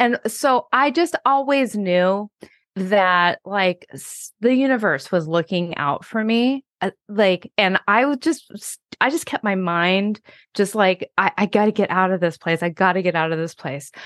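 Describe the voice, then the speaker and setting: Over a quiet background, a woman with an American accent and an unremarkable speaking voice talks at a fairly slow pace, her medium pitch carrying lively intonation in a dry, close sound with no echo. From Washington State. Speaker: hypnotherapist and author. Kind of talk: interview.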